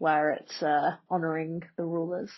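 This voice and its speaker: At a fairly slow pace, a woman speaks in a normal speaking voice with a fairly low pitch. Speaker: podcast guest. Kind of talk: casual chat.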